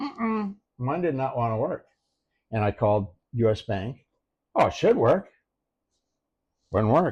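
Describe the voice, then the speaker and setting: A man with an American accent at a medium pitch, somewhat breathy, with very wide pitch swings, a fairly slow pace and long, frequent pauses over a quiet background. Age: 70s. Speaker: retiree and expat. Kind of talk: casual interview.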